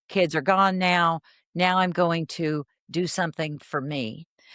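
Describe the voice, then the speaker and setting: A woman with a normal speaking voice and a fairly low pitch uses ordinary pitch variation, in a very clean recording with a silent background and a dry, close sound with no echo. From Texas, Fort Worth. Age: 60s. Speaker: therapist. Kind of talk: podcast interview.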